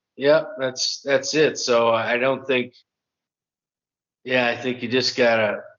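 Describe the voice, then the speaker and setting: A man at medium pitch and a fairly slow pace. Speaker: podcast co-host discussing relocation. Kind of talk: casual chat.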